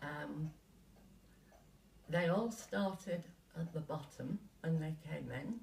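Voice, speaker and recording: A woman speaks very slowly, with long, frequent pauses. Her voice has vocal fry. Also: ordinary pitch variation. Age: 80s+. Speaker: retired company co-founder. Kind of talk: interview answer.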